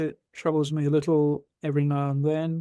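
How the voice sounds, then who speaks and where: With an English accent, a man speaks at a moderate pace in a fairly high pitch. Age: 70s. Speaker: retired doctor and rheumatologist. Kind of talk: interview storytelling.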